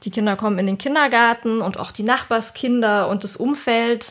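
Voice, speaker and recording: At a moderate pace and with fairly even intonation, the voice comes through noticeable background noise. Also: woman. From southern Germany. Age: 30s. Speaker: layout designer. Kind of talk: casual chat.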